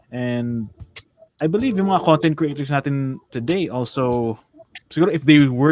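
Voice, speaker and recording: A man with a fairly high voice speaks over music in the background. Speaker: online radio co-host, voice actor. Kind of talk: casual chat.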